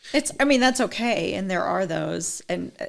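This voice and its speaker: Vocal fry is present as this woman talks. Her pitch sits in the medium range. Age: 40s. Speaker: skin care sales consultant. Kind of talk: casual interview chat.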